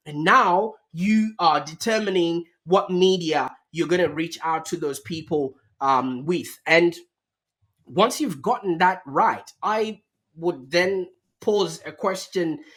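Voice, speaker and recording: A man speaks at a high pitch with ordinary pitch variation. His pace is very slow. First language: not English. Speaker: marketing agency founder. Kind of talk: podcast interview.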